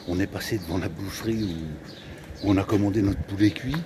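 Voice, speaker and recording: A man's fairly low voice with ordinary pitch variation, at a moderate pace, over noticeable background noise. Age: 60s. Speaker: travel vlogger. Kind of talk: casual vlog chat. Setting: outdoors. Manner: animated.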